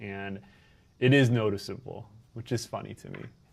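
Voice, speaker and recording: In a very clean recording with a silent background, a man with medium pitch and an unremarkable speaking voice talks at a moderate pace with ordinary pitch variation. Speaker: video game streamer. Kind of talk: live game stream commentary. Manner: casual, chatty.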